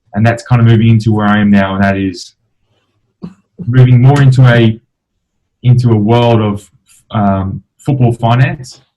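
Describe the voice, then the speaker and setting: Pausing long and often, a man with an Australian accent speaks in a dark, mellow tone with fairly even intonation. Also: medium pitch for a man, moderate pace. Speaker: professional footballer and entrepreneur. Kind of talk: interview. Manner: hesitant, many fillers.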